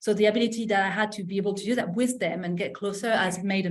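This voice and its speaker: A woman rattles along at a very fast pace in a French accent, her intonation fairly even. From France. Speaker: M&A practitioner. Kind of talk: podcast interview. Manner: halting, many false starts.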